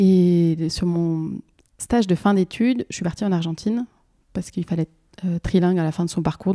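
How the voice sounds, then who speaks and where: At a fairly quick pace, a woman with a fairly low pitch and a dark, mellow tone speaks with fairly even intonation in a dry, close sound with no echo. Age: 30s. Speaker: market gardener. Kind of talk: testimony.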